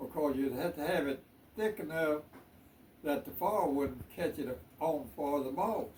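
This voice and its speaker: Amid noticeable background noise, a man with a Southern US accent talks at a fairly slow pace with long, frequent pauses, his fairly high pitch showing ordinary variation. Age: 80s+. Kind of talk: interview answer.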